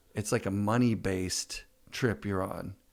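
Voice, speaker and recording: Here is a man with a plain, everyday voice, pitched fairly low, with fairly even intonation. The recording is very clean, with a silent background. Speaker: podcast host. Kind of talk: podcast interview, casual conversation.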